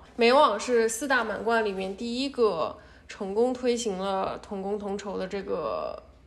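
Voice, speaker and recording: Audible room echo surrounds a voice that has ordinary pitch variation. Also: woman. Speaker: PhD student and tennis fan. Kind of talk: casual chat.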